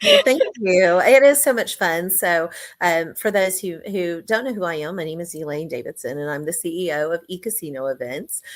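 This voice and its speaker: This woman talks at a moderate pace with an American accent, fairly low pitch, lively intonation and hardly any pauses. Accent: Texas accent, slips in occasionally. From Texas. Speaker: business owner. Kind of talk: interview testimony. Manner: hesitant, many fillers.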